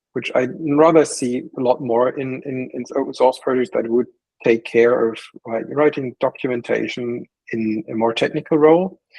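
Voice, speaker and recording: A man's medium pitch with ordinary pitch variation, a non-native accent and a moderate pace. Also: dry, close sound with no echo. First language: not English. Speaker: committee candidate. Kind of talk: panel interview. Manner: halting.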